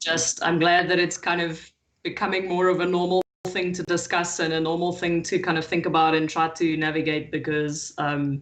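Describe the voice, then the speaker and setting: The intonation is monotone and flat at a moderate pace. Audible room echo surrounds the voice. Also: woman, fairly low pitch for a woman. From South Africa, Johannesburg. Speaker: agile consultant. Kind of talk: conference panel talk.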